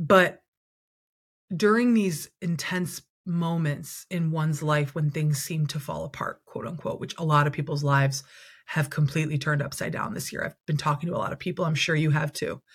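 A woman's voice, somewhat breathy, delivered at a moderate pace. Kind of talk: casual interview conversation. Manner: warm, expressive.

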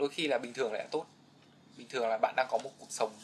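A man talks at a fairly high pitch. Noticeable background noise runs behind him. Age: 20s. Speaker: podcast guest, young office worker. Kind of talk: casual interview chat.

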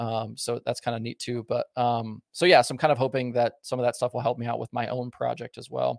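An ordinary speaking voice from a man with an American accent, medium in pitch and fairly even in intonation. He talks at a fairly quick pace with hardly any pauses, in a dry, close sound with no echo. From Southern Oregon, US. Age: 30s. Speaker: former pit crew member, racing content creator. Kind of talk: casual chat.

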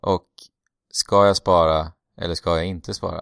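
In a very clean recording with a silent background and a dry, close sound without echo, a man speaks at a very deep, low pitch with monotone, flat intonation. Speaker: podcast host. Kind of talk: casual chat.

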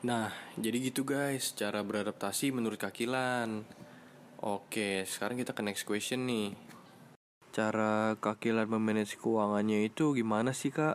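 A man speaks at a moderate pace and medium pitch, in a plain, everyday voice. His intonation is fairly even. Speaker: student podcast host. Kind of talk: casual podcast interview. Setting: studio, guest seated beside him.

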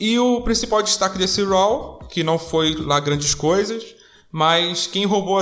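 Music plays behind a man with a high voice. He talks at a fairly slow pace. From Rio de Janeiro, Brazil. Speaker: wrestling podcast host. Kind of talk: casual chat.

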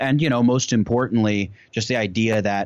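A normal speaking voice with an American accent, a moderate pace and ordinary pitch variation. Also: man. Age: 20s. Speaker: YouTuber. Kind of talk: casual chat.

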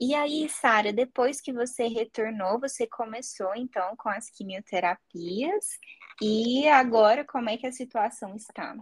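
A woman with an ordinary speaking voice, fairly high in pitch, with ordinary pitch variation, a fairly slow pace, and a dry, close sound with no echo. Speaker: psychologist, podcast host. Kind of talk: casual chat.

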